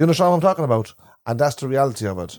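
Recorded very clean with a silent background and a dry, close sound with no echo, a man speaks at a medium pitch in a dark, mellow tone with lively intonation. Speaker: podcast co-host. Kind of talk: casual chat. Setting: in a caravan.

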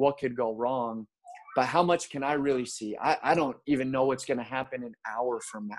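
A man with an American accent and a plain, everyday voice, at a moderate pace with fairly even intonation. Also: medium pitch for a man. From US, Baltimore, Maryland. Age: 30s. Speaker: pastor. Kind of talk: casual chat.

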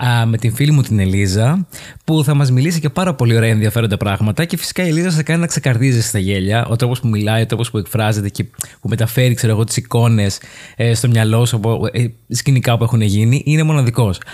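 This man talks at a fairly quick pace in a medium pitch, somewhat breathy, with ordinary pitch variation and very even loudness. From Greece, Paros. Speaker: podcast host. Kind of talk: casual chat.

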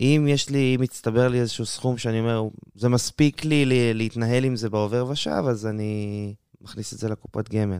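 A man speaks in a normal speaking voice at a medium pitch and a moderate pace. His intonation is fairly even, and the sound is dry and close with no echo. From Israel, southern Sharon. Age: 20s. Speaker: university student. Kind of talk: casual interview.

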